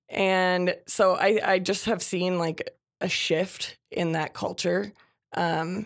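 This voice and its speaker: A woman's medium-pitched voice with vocal fry. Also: very clean recording, silent background. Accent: American. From Minnesota. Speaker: public health outreach worker, former peer counselor. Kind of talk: interview. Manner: frequent filler words.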